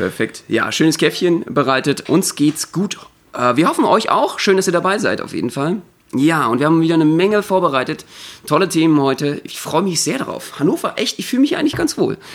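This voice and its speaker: Lively intonation runs through a man's high-pitched speech. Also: fairly quick pace. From Berlin. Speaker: variety artist and podcast host. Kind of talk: casual chat.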